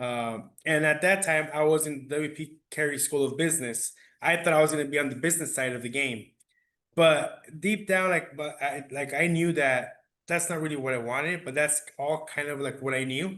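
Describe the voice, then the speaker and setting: A man's fairly high, bright, sharp voice at a moderate pace, with fairly even intonation, in a quiet background. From Phoenix, Arizona (Maryvale barrio), Mexican family. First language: Spanish. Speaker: athletic trainer. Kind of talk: podcast interview.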